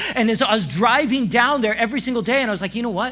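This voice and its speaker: With an American accent, a man talks in a raised, projected voice at an extremely high pitch and a very fast pace. His pitch variation is ordinary, and audible room echo surrounds him. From Kansas and Romania, raised abroad as missionary kid. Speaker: pastor. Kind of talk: sermon. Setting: church service with audience. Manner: loud; casual, filler-heavy.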